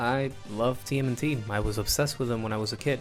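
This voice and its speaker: Over background music, a man speaks in an enthusiastic tone. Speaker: video essayist. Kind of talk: game commentary narration. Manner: casual, enthusiastic.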